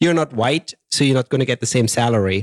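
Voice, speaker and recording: A man with a German accent and ordinary pitch variation, in a dry, close sound with no echo on a very clean recording with a silent background. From Germany. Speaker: podcast host. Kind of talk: casual interview.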